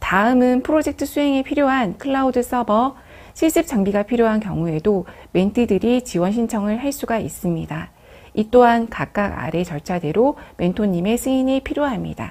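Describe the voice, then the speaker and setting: A woman with an unremarkable speaking voice talks at a moderate pace and a fairly high pitch. Her intonation is lively, and the recording is very clean with a silent background. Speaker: program staff presenter. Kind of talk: business briefing presentation. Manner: formal.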